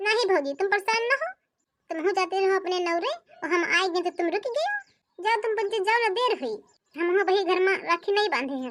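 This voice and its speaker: Putting on a character voice, a woman speaks in an extremely high, squeaky pitch at a fairly quick pace. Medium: cartoon. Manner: warm, reassuring.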